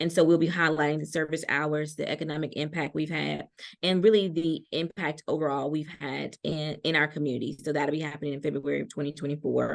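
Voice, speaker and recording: In an American accent, the voice has vocal fry and monotone, flat intonation, with a fairly quick pace and hardly any pauses. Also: woman, very deep, low pitch for a woman. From US South, Georgia. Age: young. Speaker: community leader and STEM educator. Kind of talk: interview. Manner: fast.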